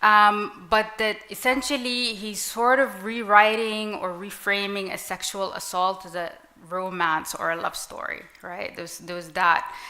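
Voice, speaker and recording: Over noticeable background noise, a woman speaks at a medium pitch with ordinary pitch variation and big swings in loudness. Her pace is fairly slow, with hardly any pauses. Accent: Arabic. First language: Arabic. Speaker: writer. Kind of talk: panel discussion.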